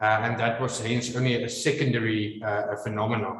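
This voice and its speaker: At a moderate pace, a man speaks with audible room echo around him. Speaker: maxillofacial surgeon. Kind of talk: lecture. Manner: halting, many fillers.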